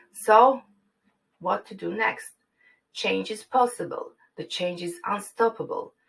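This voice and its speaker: With a Croatian accent, a woman speaks at a fairly slow pace, taking long, frequent pauses as her loudness swings widely. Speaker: university lecturer. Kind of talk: conference presentation. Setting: online forum. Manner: formal.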